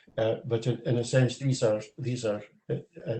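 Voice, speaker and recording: Speaking with a Scottish accent at a moderate pace, a man uses a medium pitch and a dark, mellow, somewhat breathy tone. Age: 70s. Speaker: audience member at a seminar, retired Gaelic learner. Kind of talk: panel discussion comment. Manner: halting, many fillers.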